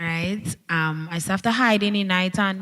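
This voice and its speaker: In a Trinidadian accent, a woman speaks at a medium pitch with ordinary pitch variation, the sound dry and close with no echo. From Trinidad, Central. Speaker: dancehall/soca artist. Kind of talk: panel discussion.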